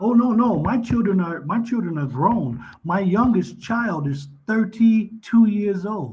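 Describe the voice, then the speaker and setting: A man with a Texan accent, high-pitched, fairly slow, with lively intonation and hardly any pauses. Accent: Texan American English. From Texas. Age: 50s. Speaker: retired police officer, online English tutor. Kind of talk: casual chat.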